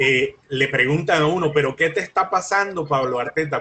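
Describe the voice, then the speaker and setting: A man with a plain, everyday voice speaks at a fairly slow pace and a fairly high pitch. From Colombia. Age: 60s. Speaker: lawyer and mediator. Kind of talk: interview.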